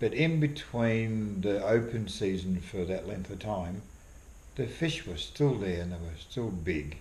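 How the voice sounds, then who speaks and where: With an Australian accent, a man speaks at a fairly slow pace in a fairly low, somewhat breathy voice with lively intonation, and audible room echo surrounds him. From Australia, Victoria (moved from abroad at ten). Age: 60s. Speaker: fly fisherman and wildlife artist. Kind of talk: casual interview.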